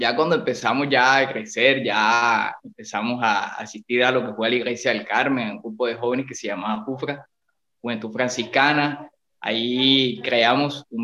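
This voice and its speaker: In an ordinary speaking voice, this man talks at a moderate pace and medium pitch, his intonation fairly even. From Colombia. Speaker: percussionist. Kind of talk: casual chat.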